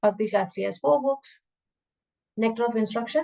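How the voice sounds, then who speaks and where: Dark, mellow tone at a fairly quick pace, with ordinary pitch variation. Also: woman. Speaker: scripture teacher. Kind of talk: lecture.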